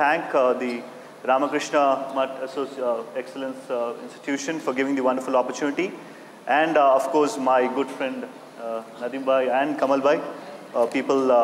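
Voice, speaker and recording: A man's monotone, flat delivery at a moderate pace, with light background noise and audible room echo. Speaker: talk show host, moderator. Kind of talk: event moderation. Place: hall.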